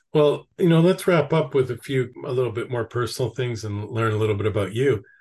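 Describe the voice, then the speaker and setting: Against a quiet background, a somewhat breathy man talks at a fairly quick pace and medium pitch with ordinary pitch variation. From Canada. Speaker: podcast host. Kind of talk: interview conversation.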